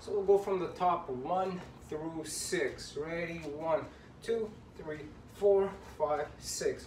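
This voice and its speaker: An upbeat, high-pitched male voice at a very slow pace, with long, frequent pauses, audible room echo and light background noise. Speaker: boxing fitness coach. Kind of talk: led workout instruction, counting out reps and punch combos. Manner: upbeat, encouraging coach, rhythmic counting with constant praise; pushes hard, urgent repeated commands. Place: home room. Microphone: camera far.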